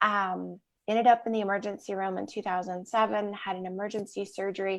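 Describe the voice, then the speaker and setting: A woman with an American accent and an unremarkable speaking voice, medium pitch, moderate pace and fairly even intonation, against a quiet background. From US Midwest. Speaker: wellness author. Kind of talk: interview.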